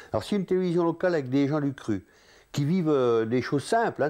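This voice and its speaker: Over a quiet background, a man with a fairly high pitch speaks at a fairly quick pace, his tone dark and mellow and his intonation lively. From eastern France, Doubs near Montbéliard. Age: 60s. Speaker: local resident interviewee. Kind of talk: interview testimony. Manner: halting, many hesitations.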